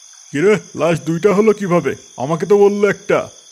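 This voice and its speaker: A man uses a cartoonish character voice pitched high for a man. He talks at a moderate pace. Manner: curt, bossy.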